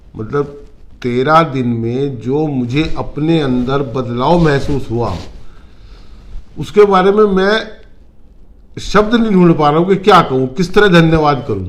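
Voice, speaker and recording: A man's fairly high voice with lively intonation and long, frequent pauses. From North India, Uttarakhand (Roorkee). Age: 60s. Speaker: retired businessman, client giving testimonial. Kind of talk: testimony interview. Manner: halting.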